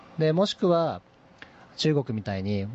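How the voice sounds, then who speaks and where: Pitch swings are very wide as a man talks at a medium pitch. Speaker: CEO of a YouTube creator management company. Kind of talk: interview conversation.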